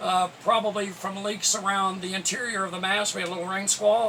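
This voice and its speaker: A man's high, raised, projected voice over noticeable background noise. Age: 70s. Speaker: sailing vlogger. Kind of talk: casual vlog talk to camera. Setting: on a small sailboat. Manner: halting, many fillers.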